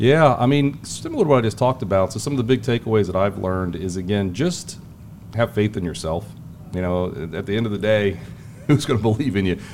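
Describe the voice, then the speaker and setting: A man's fairly low voice at a very fast pace, with lively intonation and noticeable background noise. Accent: American. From Ohio, US Midwest. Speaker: financial market strategist. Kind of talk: interview conversation. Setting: hotel event venue.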